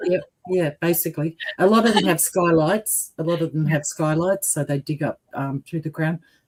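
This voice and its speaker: A woman speaks at a moderate pace with an Australian accent. Her voice is fairly low in pitch, somewhat breathy, with ordinary pitch variation. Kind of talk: casual chat. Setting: livestream.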